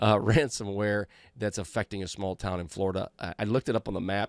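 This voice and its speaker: A man talks at a fairly quick pace in a fairly low voice with an American accent. The recording is very clean, with a silent background and a dry, close sound with no echo. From US Midwest, Iowa. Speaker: cybersecurity podcast host. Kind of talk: podcast monologue. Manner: casual, halting with fillers.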